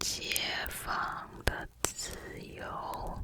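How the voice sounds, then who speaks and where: The whispering comes through with noticeable background noise. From Taiwan. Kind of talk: ASMR affirmation whisper to help sleep. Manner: whispered, soft.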